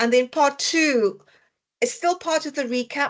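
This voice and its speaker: A woman talks with a South African accent. The background is quiet. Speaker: dietitian educator. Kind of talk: online lecture. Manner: hesitant, many fillers.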